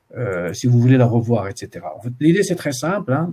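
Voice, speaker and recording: Somewhat breathy and dark, mellow in tone, a man's voice moves with lively intonation. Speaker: university supervisor. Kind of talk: student supervision session. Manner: fast; hesitant, many fillers.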